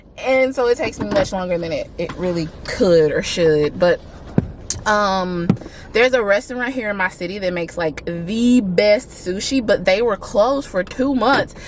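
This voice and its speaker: Lively intonation and an American accent mark this moderate-paced speech, heard over noticeable background noise. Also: woman, medium pitch for a woman. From US Deep South. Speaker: vlogger. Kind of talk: casual vlog talk to camera. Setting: in a mall, public place.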